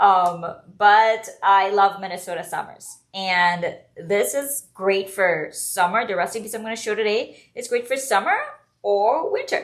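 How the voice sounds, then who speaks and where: A woman's medium-pitched voice in a Trinidadian accent, fairly slow, with ordinary pitch variation. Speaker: home cook and food blogger. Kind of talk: live cooking demo.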